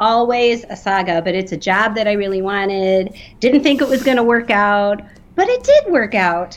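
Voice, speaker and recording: With an unremarkable speaking voice, a woman talks at a moderate pace, her fairly high pitch carried by lively intonation. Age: middle-aged. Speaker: podcast co-host. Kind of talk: casual chat.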